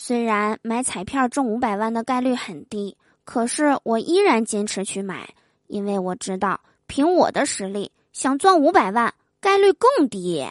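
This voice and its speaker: In an animated tone, a woman speaks at a fairly slow pace, her fairly high pitch making very wide swings. The background is quiet, and the sound is dry and close with no echo. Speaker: podcast host, comedian. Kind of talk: comedic monologue.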